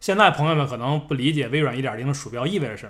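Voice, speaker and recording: Somewhat breathy, a man talks at a fairly quick pace in a fairly high voice. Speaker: podcast co-host. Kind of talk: casual chat. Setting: at a friend's home.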